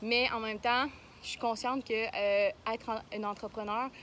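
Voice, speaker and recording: A woman in a Quebec accent, fairly high-pitched and fairly slow, with fairly even intonation. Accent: Québécois French. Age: young. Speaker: vlogger, young entrepreneur. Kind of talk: casual vlog. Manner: halting, many fillers.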